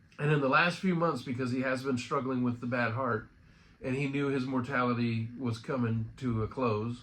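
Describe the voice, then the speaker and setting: Against audible room echo, a man speaks at medium pitch with fairly even intonation. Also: moderate pace. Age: 50s. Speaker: friend giving a memorial remembrance. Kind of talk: personal remembrance monologue. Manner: casual, halting.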